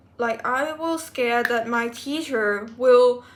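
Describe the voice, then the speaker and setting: A woman speaks with a high pitch and a non-native accent. She talks at a fairly slow pace. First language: not English. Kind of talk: casual personal vlog talk to camera.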